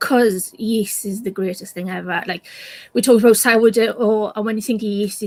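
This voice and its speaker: A woman's medium-pitched voice with a Welsh accent, fairly even intonation and a moderate pace. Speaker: science communicator. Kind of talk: casual chat.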